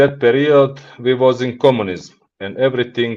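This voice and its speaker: A man's medium-pitched voice in a Montenegrin accent. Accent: Montenegrin (Balkan) accent in English. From Montenegro. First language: Montenegrin / Serbo-Croatian. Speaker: business executive. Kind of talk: podcast interview. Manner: halting, non-fluent English.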